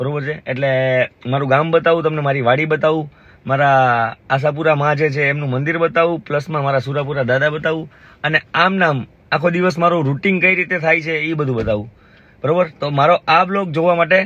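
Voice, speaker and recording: A man uses an ordinary speaking voice with a fairly high pitch and ordinary pitch variation. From Gujarat, India (Jamnagar area). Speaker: vlogger. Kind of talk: casual vlog narration. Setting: outdoors, village farm.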